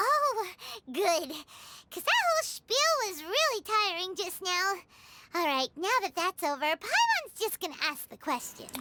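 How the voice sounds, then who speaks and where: A squeaky, female-sounding put-on character voice, extremely high in pitch, at a moderate pace. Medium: video game. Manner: refers to self in third person.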